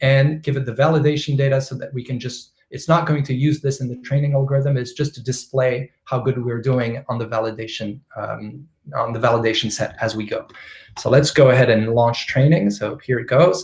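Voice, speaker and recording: At a fairly quick pace, a man speaks with a somewhat breathy voice. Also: medium pitch for a man, fairly even intonation. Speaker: machine learning expert speaker. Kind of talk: technical lecture with live demo. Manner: fast.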